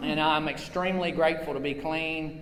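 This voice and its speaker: With audible room echo and noticeable background noise, a man with a fairly high pitch speaks in fairly even intonation. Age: 40s. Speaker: recovery convention speaker. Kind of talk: personal testimony. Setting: stage with audience. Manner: loud.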